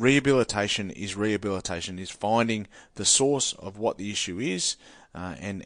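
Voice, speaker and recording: With a strong Australian accent, a man speaks at a fairly low pitch and a moderate pace. His pitch varies in an ordinary way against a quiet background. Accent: broad Australian. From rural New South Wales, Australia. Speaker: former rugby league player and boxer, mental health speaker. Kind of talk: studio interview. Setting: studio. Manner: halting, many repetitions and fillers.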